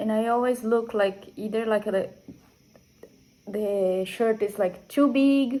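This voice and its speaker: A woman with a Brazilian accent and a dark, mellow tone speaks at a fairly slow pace, her fairly high pitch carried in fairly even intonation. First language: Portuguese. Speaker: knitting podcaster. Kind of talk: casual chat. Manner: halting, with fillers.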